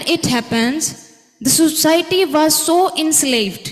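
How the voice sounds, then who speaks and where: The pitch varies in an ordinary way, with audible room echo. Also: woman. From Pakistan. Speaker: conference speaker. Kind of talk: conference presentation.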